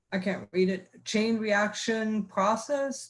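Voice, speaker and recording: A woman's somewhat breathy voice. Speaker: university research administrator. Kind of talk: reading aloud. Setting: video call. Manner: halting.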